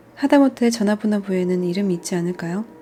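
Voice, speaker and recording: With music in the background, a woman talks at a moderate pace in a medium pitch with ordinary pitch variation. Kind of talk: audiobook reading. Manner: soft-spoken.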